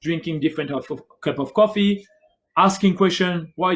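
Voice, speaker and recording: With a French accent, a man speaks at a moderate pace and keeps his intonation fairly even. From France. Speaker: barista. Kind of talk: livestream interview answer.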